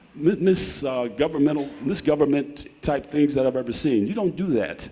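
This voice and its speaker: Through noticeable background noise, a man with a fairly high voice talks at a fairly quick pace with lively intonation. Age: 70s. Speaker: resident speaking at public comment. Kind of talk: public comment at board meeting. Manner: impassioned; halting, repeats words.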